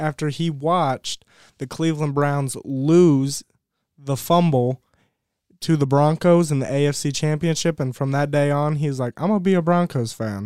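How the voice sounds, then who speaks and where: In a very clean recording with a silent background and a dry, close sound with no echo, a man with a fairly high pitch and a plain, everyday voice talks at a moderate pace with ordinary pitch variation. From Ohio. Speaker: college student and lacrosse player. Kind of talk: casual chat.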